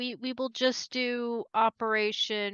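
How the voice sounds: A woman speaks at medium pitch with fairly even intonation. Her tone is fairly bright, clear and smooth, with a dry, close sound and no echo.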